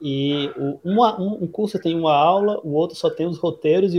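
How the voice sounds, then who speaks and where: Speaking at a fairly slow pace, a man with a high pitch uses ordinary pitch variation. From Brazil, Natal. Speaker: public policy advisor and academic. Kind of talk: casual interview. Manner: halting.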